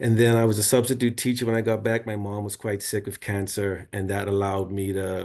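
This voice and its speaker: Fairly quick, monotone, flat speech from a man with a fairly low pitch, quiet background. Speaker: renewable energy workshop presenter. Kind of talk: online workshop presentation. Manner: casual, with many fillers.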